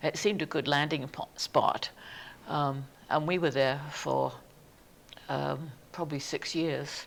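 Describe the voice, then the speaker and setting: The speaker has an English accent and talks at a fairly slow pace. Long pauses come often. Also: woman. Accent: English accent, still noticeable. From southern England. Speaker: museum society president. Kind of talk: oral history interview.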